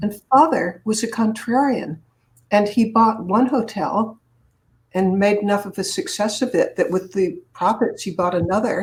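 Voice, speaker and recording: In an American accent, a woman speaks at a moderate pace in a fairly high pitch. Her voice is somewhat breathy, with ordinary pitch variation. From Boston area, Massachusetts. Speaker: public speaker and author. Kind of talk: interview.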